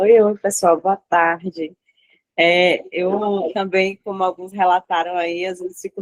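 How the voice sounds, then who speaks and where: A woman speaks at medium pitch and a moderate pace. Her intonation is monotone and flat, in a dry, close sound with no echo. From Bahia, Brazil. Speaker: study group member. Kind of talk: group video call testimony. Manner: hesitant.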